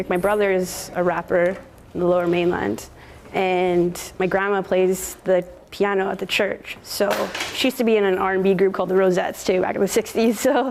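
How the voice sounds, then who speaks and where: A woman with a Western Canadian accent, medium pitch, fairly even intonation and a fairly quick pace. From Canada, North Vancouver area (Squamish Nation reserve). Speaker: DJ and entrepreneur. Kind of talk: casual documentary talk.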